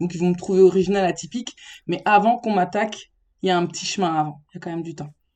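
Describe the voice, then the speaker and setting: A woman's medium-pitched voice, dark and mellow, at a very fast pace with fairly even intonation. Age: 30s. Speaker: special-needs educator, podcast guest. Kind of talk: casual interview chat.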